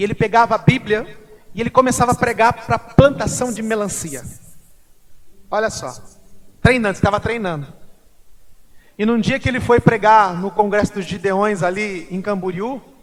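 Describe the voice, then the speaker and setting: A man with a high voice talks at a moderate pace, with ordinary pitch variation. His loudness swings widely, and he pauses often and at length. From Brazil, Mato Grosso do Sul (Corumbá). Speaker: pastor. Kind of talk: sermon with personal testimony. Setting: church service.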